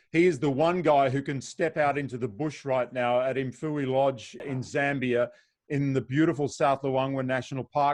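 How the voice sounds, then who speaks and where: In a quiet background, a man with an Australian accent speaks at a moderate pace. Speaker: safari travel host. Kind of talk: video call panel moderation. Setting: video call.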